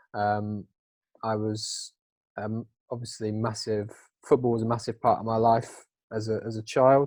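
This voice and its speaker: In a very clean recording with a silent background, a man speaks at a moderate pace with a medium pitch and a monotone, flat intonation. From England, Norfolk. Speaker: former football coach, campaigner, recovering gambler. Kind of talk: podcast interview, personal story.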